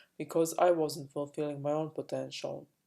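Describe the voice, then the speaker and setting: A woman with a Croatian accent, dark and mellow in tone, at a moderate pace. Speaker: spiritual coach. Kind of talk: personal vlog monologue. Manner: halting, many fillers.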